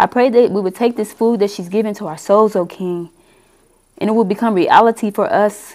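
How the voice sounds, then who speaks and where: An unremarkable speaking voice from a woman with a fairly high pitch and ordinary pitch variation. She talks at a fairly quick pace. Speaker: church member leading opening prayer. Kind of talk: prayer. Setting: church. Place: meeting room. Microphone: headset.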